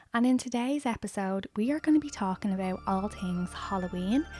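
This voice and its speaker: In a dry, close sound with no echo and a very clean recording with a silent background, the speaker talks at a moderate pace in an Irish accent. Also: woman. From Ireland. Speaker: lifestyle and book YouTuber. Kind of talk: casual vlog talk to camera.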